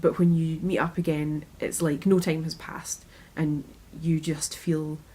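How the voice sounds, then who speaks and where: Somewhat breathy, a woman speaks at a fairly low pitch with a dark, mellow tone. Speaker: interviewee. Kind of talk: interview answer.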